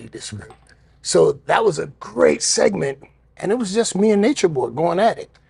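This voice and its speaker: The man talks at a moderate pace. His loudness swings a lot. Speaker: professional wrestler. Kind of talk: podcast conversation. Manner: candid, storytelling.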